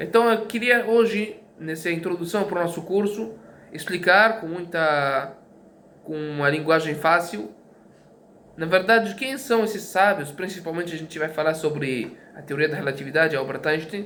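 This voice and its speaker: Room echo is audible and background noise is noticeable as a man talks at a moderate pace in a high pitch. His intonation is lively, and his loudness swings widely. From Brazil. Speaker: teacher. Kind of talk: lecture. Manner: halting, many fillers and repetitions.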